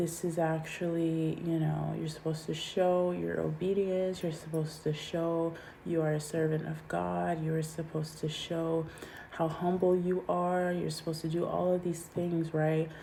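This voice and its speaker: Audible room echo surrounds a woman's dark, mellow tone. She speaks in a monotone, with flat intonation. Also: fairly low pitch for a woman, moderate pace. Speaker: tarot/intuitive reader. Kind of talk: channeled collective reading. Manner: casual, filler-heavy.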